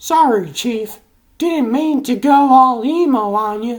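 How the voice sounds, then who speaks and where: A man talks in a put-on character voice, pitched extremely high. His pace is fairly slow and his pitch variation is ordinary. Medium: dub.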